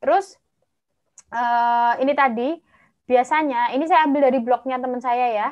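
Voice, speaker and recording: A woman speaks with a high pitch and fairly even intonation at a moderate pace. She takes long, frequent pauses against a quiet background. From Java, Indonesia. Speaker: medical doctor and master's student; webinar presenter. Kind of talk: online presentation. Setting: video call livestream. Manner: chatty, talkative; cheerful, laughs often. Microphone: video call.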